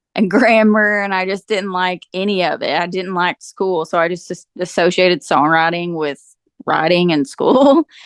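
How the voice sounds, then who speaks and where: A woman with a strong eastern Kentucky accent at a medium pitch, ordinary pitch variation and moderate pace, in a dry, close sound with no echo. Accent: eastern Kentucky, thick. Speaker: country singer-songwriter. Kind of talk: interview. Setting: podcast.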